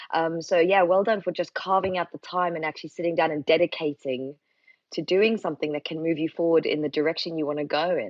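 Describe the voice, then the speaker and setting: Pitched fairly low, the woman rattles off her words at a very fast pace. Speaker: yoga teacher. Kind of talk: casual chat. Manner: animated.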